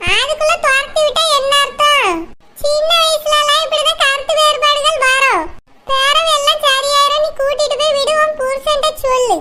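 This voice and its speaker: A woman performs a cartoonish character voice at an extremely high pitch. She speaks fairly slowly, with fairly even intonation and very even loudness. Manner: calm, warm.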